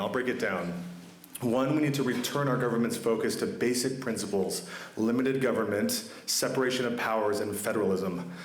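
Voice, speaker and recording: A man's medium-pitched voice carries audible room echo, with noticeable background noise behind it. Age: 20s. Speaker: political candidate. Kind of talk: campaign speech. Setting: town hall meeting in a chapel with audience.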